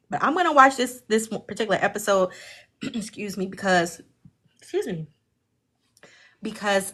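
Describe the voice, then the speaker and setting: A woman with an American accent speaks at a moderate pace and medium pitch, with long, frequent pauses. Her tone is bright and sharp, with ordinary pitch variation. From Jamaica, Queens, New York. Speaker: livestream host, study group leader. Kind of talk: casual livestream discussion. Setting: livestream.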